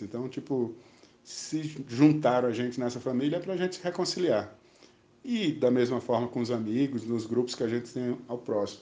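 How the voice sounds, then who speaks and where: The speaker has a dark, mellow tone and talks at a moderate pace. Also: man. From Brazil, Maceió (Alagoas, Northeast). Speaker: spiritual studies teacher. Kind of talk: casual interview. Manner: halting.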